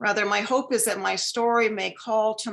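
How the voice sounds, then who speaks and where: A woman's plain, everyday voice at a medium pitch, at a fairly slow pace. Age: 60s. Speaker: lecture speaker. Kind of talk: lecture. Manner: formal.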